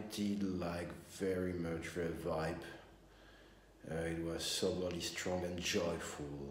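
There is light background noise and audible room echo around a man's voice. He has a very deep, low pitch and a monotone, flat intonation. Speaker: musician vlogger. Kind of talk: casual vlog chat. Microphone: phone near.

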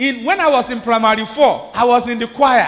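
A man with a Nigerian accent speaks at an extremely high pitch. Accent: Nigerian (Yoruba) English. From Nigeria, Ondo State (Yoruba area). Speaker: bishop, preacher. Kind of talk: sermon. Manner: animated. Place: church. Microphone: handheld.

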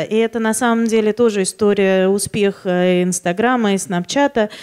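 Against a quiet background, a woman talks at a moderate pace with fairly even intonation. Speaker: magazine publisher; conference speaker. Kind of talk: conference talk. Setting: stage with audience. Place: hall. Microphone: handheld.

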